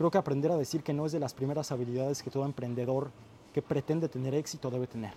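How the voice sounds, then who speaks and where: Speaking at a very fast pace, a man with a fairly high pitch and a dark, mellow tone keeps his intonation fairly even. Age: 20s. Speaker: YouTube content creator and entrepreneur. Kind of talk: casual chat.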